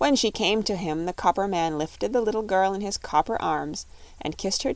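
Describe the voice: The speaker simply reads aloud, and the pitch varies in an ordinary way.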